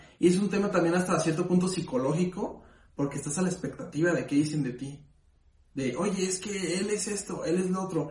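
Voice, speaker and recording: A man's high-pitched voice at a fairly quick pace, ordinary pitch variation, and audible room echo. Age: 20s. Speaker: podcast co-host. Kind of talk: casual chat.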